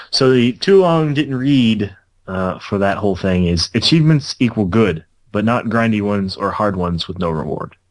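Using a normal speaking voice, a man with a fairly low pitch and lively intonation talks at a moderate pace. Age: 20s. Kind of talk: casual chat.

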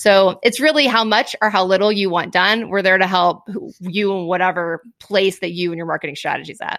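At a fairly quick pace, a woman speaks with a medium pitch and ordinary pitch variation. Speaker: business founder, video marketing expert. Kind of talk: casual interview. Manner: fast talker.

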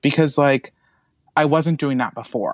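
Heard in a dry, close sound with no echo, a man of fairly high pitch speaks at a moderate pace with an unremarkable speaking voice. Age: young. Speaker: guest co-host. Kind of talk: casual chat. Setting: recording from a closet.

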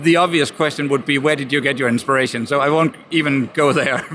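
Noticeable background noise surrounds a man speaking with a Danish accent. His pitch is fairly high. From Denmark. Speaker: podcast producer and interviewer. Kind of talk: trade fair interview. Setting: busy convention hall.

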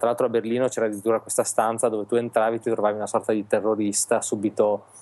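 Fairly low in pitch, a man's voice has a dark, mellow tone. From Italy, Reggio Emilia. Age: 30s. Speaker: illustrator. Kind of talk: casual chat interview.

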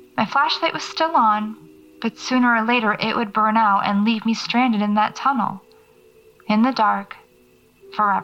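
Against music in the background, a woman speaks with ordinary pitch variation and long, frequent pauses. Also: fairly high pitch for a woman, moderate pace. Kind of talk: horror fiction narration, first-person audio-diary monologue. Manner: hushed, uneasy, halting, with sighs and pauses, dread building.

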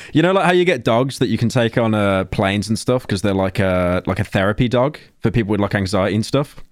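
In a very clean recording with a silent background, a man with a Birmingham accent talks at a very fast pace with hardly any pauses, very even loudness and lively intonation. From England, Birmingham. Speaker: podcast co-host. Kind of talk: casual chat.

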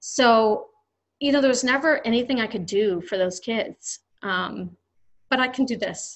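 Speaking at a fairly slow pace in an American accent, a woman uses a fairly high pitch with ordinary pitch variation. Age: 40s. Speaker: promotional products distributor, business owner. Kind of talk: interview conversation.

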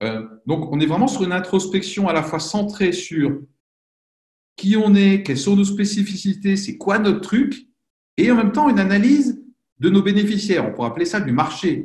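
Using lively intonation, a man with a high pitch speaks at a moderate pace. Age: 40s. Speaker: professional coach and consultant. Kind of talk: interview.

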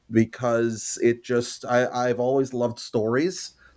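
A man speaks in a Montreal accent at a medium pitch. The recording is very clean, with a silent background. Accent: Canadian English (Montreal). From Canada, Montreal. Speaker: history professor. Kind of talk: interview. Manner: halting, many fillers.

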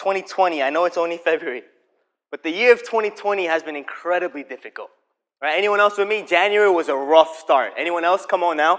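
At a moderate pace, a man talks in a high voice. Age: 20s. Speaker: preacher. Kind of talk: sermon. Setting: stage with audience.

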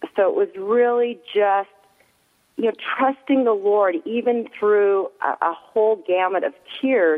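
A woman with an unremarkable speaking voice talks fairly slowly at a fairly high pitch, her intonation lively. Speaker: mother of an actor, prayer advocate. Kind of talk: casual chat.

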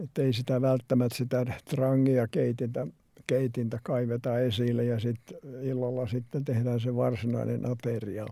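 A man speaks with a dark, mellow tone, fairly even intonation and very even loudness. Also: medium pitch for a man, moderate pace. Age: 80s+. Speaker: retired sea kayaker. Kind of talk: interview, storytelling.

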